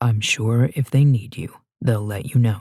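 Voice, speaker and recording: Using a put-on character voice, a man speaks at a medium pitch and a fairly slow pace with ordinary pitch variation. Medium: read story. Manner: calm, authoritative.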